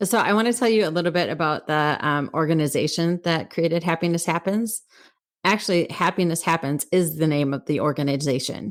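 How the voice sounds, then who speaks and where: In a very clean recording with a silent background, a woman speaks with an American accent at a fairly quick pace. Her pitch is fairly low with ordinary variation, and her loudness is very even. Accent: Wisconsin accent, slips out occasionally. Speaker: podcast co-host. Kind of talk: casual chat. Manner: halting, self-correcting with fillers.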